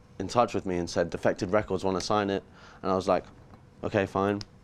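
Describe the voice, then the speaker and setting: A man with an English accent and a fairly low pitch. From England, near London. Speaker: musician. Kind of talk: interview. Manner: casual.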